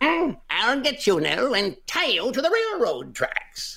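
A put-on character voice, high-pitched and fairly slow. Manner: menacing, theatrical.

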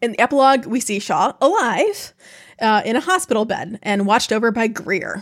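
A woman's plain, everyday voice with an American accent, fairly high in pitch, at a fairly quick pace with lively intonation. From upstate New York. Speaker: podcast co-host. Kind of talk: reading aloud; casual chat.

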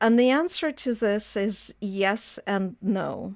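A woman with a Russian accent, fairly high pitch and ordinary pitch variation, on a very clean recording with a silent background. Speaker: economics lecturer. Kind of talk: interview.

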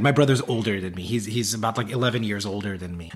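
A plain, everyday voice with an American accent, a fairly quick pace and ordinary pitch variation. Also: man. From US South, South Carolina and North Carolina. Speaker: accessibility consultant, CEO. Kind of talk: interview.

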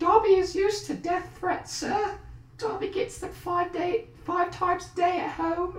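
Squeaky put-on character voice at an extremely high pitch, moderate pace and a slight echo. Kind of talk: deferential, servile.

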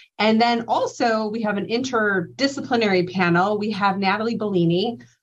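An ordinary speaking voice from a woman, with ordinary pitch variation. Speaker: clinical pharmacist presenter. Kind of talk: educational slide presentation. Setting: virtual conference presentation.

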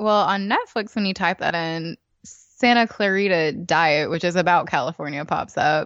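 At a moderate pace, a woman with a Southern US accent speaks at a fairly low pitch with ordinary pitch variation. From North Georgia, US South. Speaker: podcast host. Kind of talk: casual chat.

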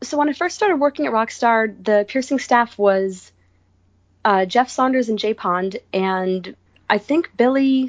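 Using a plain, everyday voice, a woman with an American accent speaks at a fairly slow pace, her fairly high voice carrying lively intonation. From US Northeast, Rhode Island. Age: 30s. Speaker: body piercer and studio owner. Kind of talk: casual interview.

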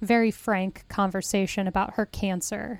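The recording is very clean, with a silent background. A woman with an unremarkable speaking voice speaks fairly slowly at a medium pitch with fairly even intonation. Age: 30s. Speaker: podcast host and film blogger. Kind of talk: casual film discussion.

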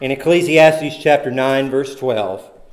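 Audible room echo and noticeable background noise around a man speaking fairly slowly. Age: 40s. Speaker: preacher. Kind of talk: sermon. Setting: church.

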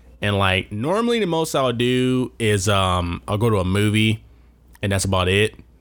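The man's voice sits at a fairly low pitch. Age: 30s. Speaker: solo movie podcast host. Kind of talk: casual monologue. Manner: animated.

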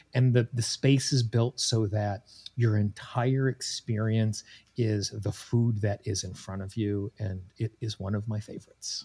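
A man with a dark, mellow, somewhat breathy tone speaks fairly slowly at a fairly low pitch, his intonation fairly even, in a dry, close sound with no echo. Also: very clean recording, silent background. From Wyoming, US. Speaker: tapping coach and podcast host. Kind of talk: interview.

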